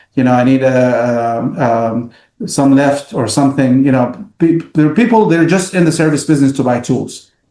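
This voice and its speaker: A man with an Arabic accent speaks at a moderate pace with a dark, mellow tone. His pitch is fairly high, with ordinary pitch variation. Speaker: business owner. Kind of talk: casual interview. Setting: podcast. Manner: halting, many fillers.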